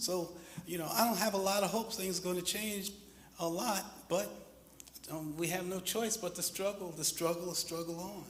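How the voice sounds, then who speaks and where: A man with a high pitch talks at a moderate pace, with fairly even intonation. Long, frequent pauses break his speech, and noticeable background noise runs underneath. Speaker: panelist. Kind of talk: panel discussion.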